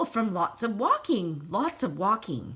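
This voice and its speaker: A put-on character voice, female-sounding, medium in pitch for a woman, with very wide pitch swings at a moderate pace. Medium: read story. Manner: slow, repeats words.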